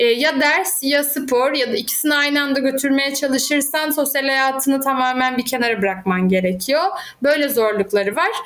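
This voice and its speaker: With hardly any pauses, a woman talks in a high pitch at a very even loudness. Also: ordinary pitch variation, moderate pace. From Turkey, Izmir. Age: 30s. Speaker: academic and handball coach. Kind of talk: interview conversation.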